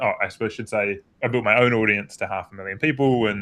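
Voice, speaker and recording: A man speaks with a New Zealand accent. He talks at a very fast pace. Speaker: performance coach. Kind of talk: panel discussion.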